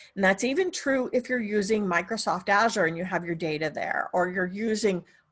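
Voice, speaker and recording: The speaker has a normal speaking voice with ordinary pitch variation against a quiet background. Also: woman. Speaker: software trainer. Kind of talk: webinar tutorial. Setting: online webinar.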